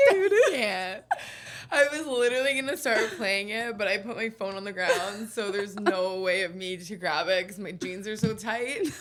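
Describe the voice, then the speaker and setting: With noticeable background noise around her, a woman speaks at a moderate pace in a medium pitch, showing ordinary pitch variation and big swings in loudness. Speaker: podcast co-host. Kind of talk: casual chat. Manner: energetic.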